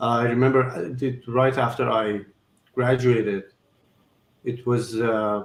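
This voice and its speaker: Speaking with an Iranian accent in a monotone, flat intonation, the voice moves at a fairly slow pace with long, frequent pauses. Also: man, medium pitch for a man. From Iran, Tehran. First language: Farsi. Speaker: surgeon. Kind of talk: interview. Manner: halting.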